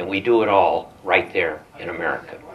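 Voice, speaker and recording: A man at a fairly quick pace against noticeable background noise. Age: 80s+. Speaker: business owner and political activist. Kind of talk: political speech. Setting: breakfast event with audience. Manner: halting, many fillers.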